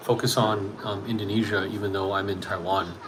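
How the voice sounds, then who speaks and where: Heard through noticeable background noise and audible room echo, a man talks with a Canadian accent. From Canada. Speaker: English teacher and small youtuber. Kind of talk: casual chat. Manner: halting, many fillers and restarts; fast.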